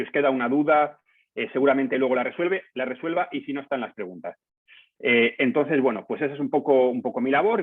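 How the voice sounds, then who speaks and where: A medium-pitched man with a Castilian accent, very fast pace and lively intonation. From Spain, Palencia. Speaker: journalist, news editor. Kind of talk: lecture.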